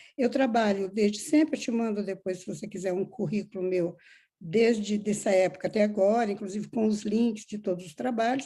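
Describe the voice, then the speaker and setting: A woman talks at a moderate pace in a dark, mellow, somewhat breathy tone with big swings in loudness. Her pitch is medium, with ordinary variation. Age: 70s. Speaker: filmmaker. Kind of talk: interview. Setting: video call.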